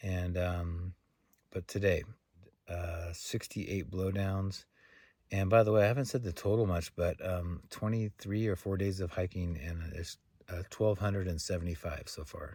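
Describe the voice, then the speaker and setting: On a very clean recording with a silent background, a man speaks at a moderate pace with a very deep, low pitch. His tone is dark, mellow and somewhat breathy, with fairly even intonation. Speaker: thru-hiker vlogger. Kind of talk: casual vlog to camera. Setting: outdoors in a tent camp. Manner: soft-spoken; halting, many fillers.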